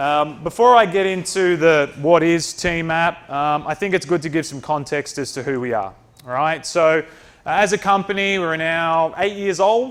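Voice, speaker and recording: A man talks with an Australian accent and a high pitch. His pitch varies in an ordinary way. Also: moderate pace. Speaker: company presenter. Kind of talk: presentation.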